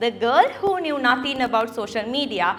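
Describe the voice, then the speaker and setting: A woman with a Sri Lankan accent, high-pitched, over noticeable background noise. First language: Sinhalese. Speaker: content creator and keynote speaker. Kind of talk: keynote speech.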